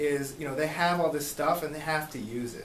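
Amid audible room echo and light background noise, a man speaks at a fairly quick pace with ordinary pitch variation. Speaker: legal defense coordinator; radio interview guest or host. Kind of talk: radio interview. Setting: studio. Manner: halting. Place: studio.

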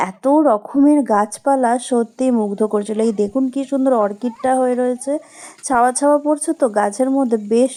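A woman's high voice with fairly even intonation. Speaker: vlogger. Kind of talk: travel vlog narration. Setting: outdoors by a pond.

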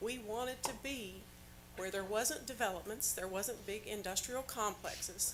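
A woman at a fairly high pitch and moderate pace, with ordinary pitch variation, audible room echo and noticeable background noise. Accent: American. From Indiana. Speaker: public commenter at county meeting. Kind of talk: public comment.

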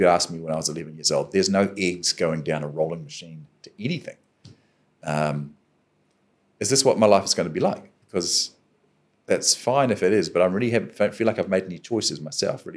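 Speaking very fast with a New Zealand accent, a man with a very deep, low pitch uses lively intonation and big swings in loudness. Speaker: adventurer and professional speaker. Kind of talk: podcast interview answer. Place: studio. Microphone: studio mic.

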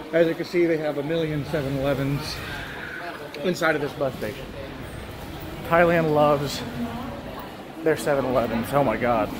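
With long, frequent pauses at a moderate pace, a man speaks amid noticeable background noise. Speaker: travel vlogger. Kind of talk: casual vlog chat. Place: station. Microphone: phone near.

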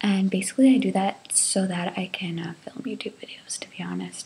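A quiet woman at a moderate pace. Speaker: vlogger. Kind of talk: casual vlog chat. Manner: hushed early-morning voice, kept low. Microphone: webcam.

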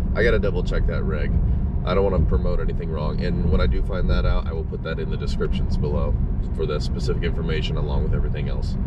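The speech comes very fast in a dry sound with no echo. Loud background noise runs underneath. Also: man. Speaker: fishing vlogger. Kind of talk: casual vlog chat. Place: car. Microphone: phone near.

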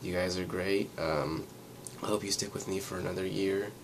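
A man talks at a moderate pace with fairly low pitch. There is noticeable background noise. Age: 20s. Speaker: vlogger. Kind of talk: casual vlog monologue. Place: home room. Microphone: webcam.

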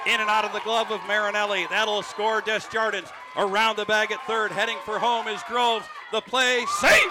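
Over loud background noise, a man uses a raised, projected voice at a high pitch, speaking at a moderate pace with monotone, flat intonation. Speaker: baseball play-by-play announcer. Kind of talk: live play-by-play commentary. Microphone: headset.

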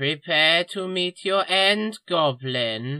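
Someone uses a put-on character voice at a middle pitch and a very slow pace. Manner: paranoid, blustering, pompous.

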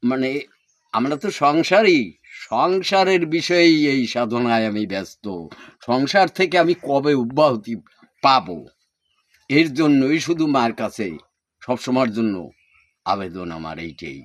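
A man's medium-pitched voice moves through very wide pitch swings. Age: 80s+. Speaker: spiritual practitioner. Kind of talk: interview answers. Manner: halting.

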